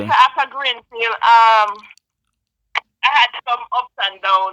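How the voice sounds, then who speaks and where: Speaking at a very slow pace in a Jamaican accent, a woman has a bright, sharp tone, a fairly high pitch and fairly even intonation. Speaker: nurse. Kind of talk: interview answer.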